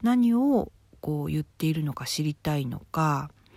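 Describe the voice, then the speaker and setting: Speaking at a fairly slow pace, a woman with a very deep, low pitch and a dark, mellow tone uses lively intonation on a very clean recording with a silent background. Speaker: fortune teller and writer. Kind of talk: solo talk monologue.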